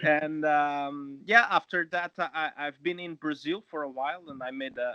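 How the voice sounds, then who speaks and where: Man's fairly high, bright, sharp voice with a Portuguese accent, at a fairly slow pace, in a dry, close sound with no echo. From Portugal. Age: 20s. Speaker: actor. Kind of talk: interview. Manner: halting.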